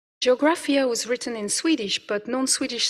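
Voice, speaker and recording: Speaking at a moderate pace with a French accent, a woman varies her pitch in an ordinary way. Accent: non-native, French. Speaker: professor. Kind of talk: conference presentation. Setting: conference hall with audience. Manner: hesitant, with fillers.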